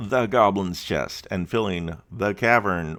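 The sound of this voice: The pitch varies in an ordinary way across an unforced reading voice.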